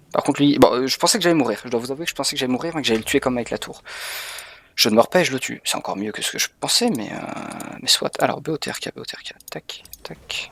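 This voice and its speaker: A man is whispering at a fairly quick pace over noticeable background noise. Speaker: video game streamer. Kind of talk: live gameplay commentary. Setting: streaming from home. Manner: animated.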